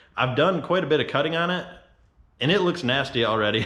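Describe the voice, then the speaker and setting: A man talks fairly quickly, with audible echo from the room. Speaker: off-road and fabrication YouTuber. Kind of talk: product review tutorial. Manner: monotone; casual.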